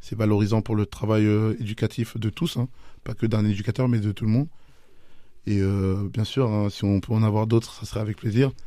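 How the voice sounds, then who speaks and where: With a normal speaking voice, a man talks at a moderate pace in a fairly low pitch and fairly even intonation, in a very clean recording with a silent background. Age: 30s. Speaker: youth football technical director. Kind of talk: radio interview. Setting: radio studio.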